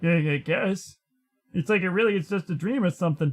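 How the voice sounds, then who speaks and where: Someone in a put-on character voice talks fairly quickly at a very even loudness. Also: man, high pitch for a man. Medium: game stream. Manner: stammering, hesitant.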